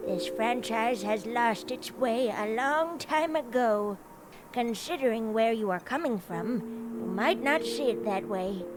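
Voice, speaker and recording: A female-sounding voice, fairly high in pitch, does a put-on character voice at a fairly slow pace over clear music in the background. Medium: video game. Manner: patronizing, sly.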